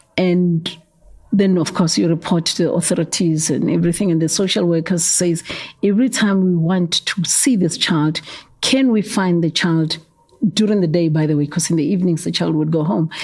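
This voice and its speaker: With a Gauteng accent and a fairly low pitch, a woman speaks at a moderate pace with ordinary pitch variation and very even loudness, amid noticeable background noise. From South Africa, Soweto, Gauteng. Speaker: youth development founder. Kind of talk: interview. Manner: hesitant, repeats words.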